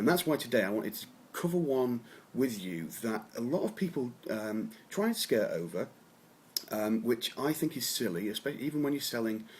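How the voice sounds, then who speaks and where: Speaking at a moderate pace, a man uses lively intonation in a medium pitch. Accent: English. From England. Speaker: copywriter. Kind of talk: talking-head advice video. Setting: home office. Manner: hesitant, many fillers.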